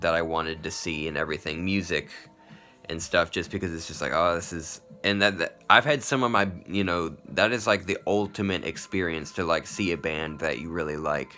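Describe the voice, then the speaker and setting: With music in the background, a man speaks at a moderate pace, his pitch varying in an ordinary way. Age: 30s. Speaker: vlogger. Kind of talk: personal video diary monologue. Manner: halting, many fillers like 'like' and 'you know'.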